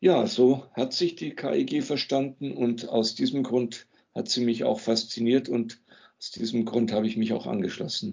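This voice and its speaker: A man talks at a fairly slow pace. His voice sits at a medium pitch. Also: ordinary pitch variation. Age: 60s. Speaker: music teacher, former sect member. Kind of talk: interview testimony. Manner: hesitant, frequent fillers.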